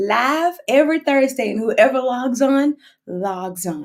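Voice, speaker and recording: In a Texas accent, the speaker sounds animated, with lively intonation. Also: woman. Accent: Southern US, Texas. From US South, Houston, Texas. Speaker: singer. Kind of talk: casual chat. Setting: social media livestream.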